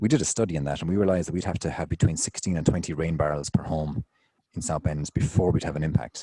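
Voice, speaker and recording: Delivered at a very fast pace with an Irish accent, this dark, mellow voice has ordinary pitch variation and a dry, close sound with no echo. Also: man, very deep, low pitch for a man. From Ireland. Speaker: city engineer. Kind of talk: conference Q&A.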